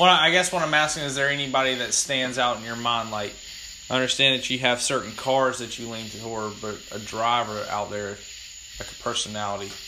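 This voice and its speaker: The speech is loud and comes at a fairly quick pace, with ordinary pitch variation. Noticeable background noise runs underneath. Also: man, medium pitch for a man. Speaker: podcast host. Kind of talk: casual chat.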